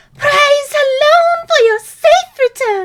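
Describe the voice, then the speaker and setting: A female-sounding voice is pitched extremely high. It is a put-on character voice. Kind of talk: regal, formal.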